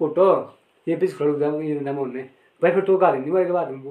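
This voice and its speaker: A man speaks in a dark, mellow tone. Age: 30s. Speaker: local villager discussing panchayat affairs. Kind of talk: casual chat.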